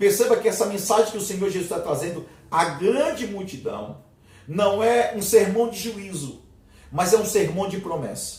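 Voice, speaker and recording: Heard with audible room echo, a man with a Brazilian accent speaks at a moderate pace in a high pitch with ordinary pitch variation. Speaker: theology teacher. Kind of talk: lecture.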